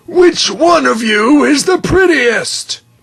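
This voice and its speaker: A man's raspy put-on character voice at an extremely high pitch and a very slow pace. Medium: read story.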